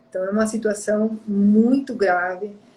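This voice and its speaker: A woman speaks in a medium pitch with monotone, flat intonation. Her voice is somewhat breathy and her pace fairly slow. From outside Brazil. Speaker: therapist and live-stream host. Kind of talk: live-stream conversation, personal testimony. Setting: online live stream.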